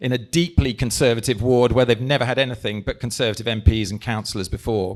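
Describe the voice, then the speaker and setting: A man's voice at a medium pitch. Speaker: politician. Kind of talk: speech to an audience. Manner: animated.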